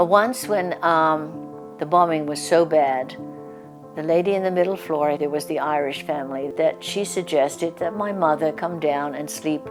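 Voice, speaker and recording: Over music in the background, a woman speaks at a very deep, low pitch with ordinary pitch variation. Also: moderate pace. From London, England. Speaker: Blitz survivor. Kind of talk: interview answer.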